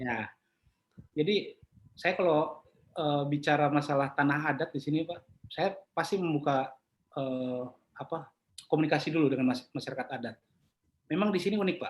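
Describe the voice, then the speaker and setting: With ordinary pitch variation, a man speaks fairly quickly in a fairly high voice. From Papua, Jayapura. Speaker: property appraiser. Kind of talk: interview conversation. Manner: casual.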